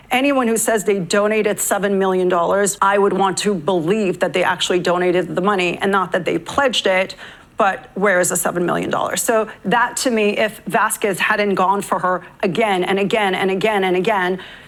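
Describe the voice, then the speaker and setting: A woman at a fairly quick pace, fairly even intonation, noticeable background noise behind her. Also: medium pitch for a woman, very even loudness. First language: not English. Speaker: legal commentator. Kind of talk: tv panel discussion.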